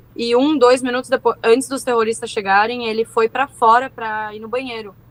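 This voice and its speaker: Here a woman talks at a fairly quick pace. She has an unremarkable speaking voice with a fairly high pitch. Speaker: war survivor. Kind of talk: testimony.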